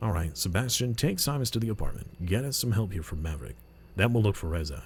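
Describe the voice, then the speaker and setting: A man puts on a gruff character voice, fairly low in pitch with very wide pitch swings. He speaks at a very fast pace over clear background noise. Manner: commanding, authoritative.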